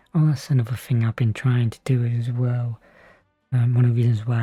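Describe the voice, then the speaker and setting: The voice is whispering. It stays quiet throughout. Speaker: gaming streamer. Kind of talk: casual gameplay commentary. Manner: quiet, near-whispering.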